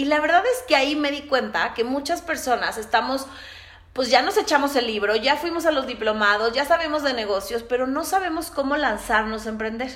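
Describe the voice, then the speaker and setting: With noticeable background noise behind her, a woman speaks at a high pitch. Her pace is fairly quick and her intonation lively. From Mexico City. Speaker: podcast host, entrepreneur. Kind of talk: solo podcast monologue.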